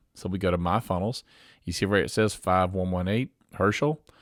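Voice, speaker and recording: On a very clean recording with a silent background, an ordinary speaking voice runs fairly quickly with ordinary pitch variation. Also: man. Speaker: software company owner demoing product. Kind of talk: screen-share tutorial. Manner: casual.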